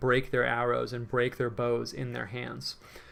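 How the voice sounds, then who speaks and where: Soft-spoken, a man talks at a medium pitch. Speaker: painter and livestreamer. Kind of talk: livestream painting tutorial with chat. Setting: livestream from his room. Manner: casual, filler-heavy.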